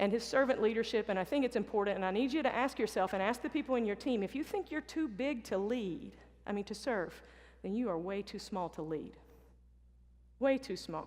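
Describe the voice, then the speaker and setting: A woman with a Southern accent at a fairly high pitch, with lively intonation, a fairly quick pace and a quiet background. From US South. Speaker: basketball coach. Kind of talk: motivational talk. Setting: stage with audience.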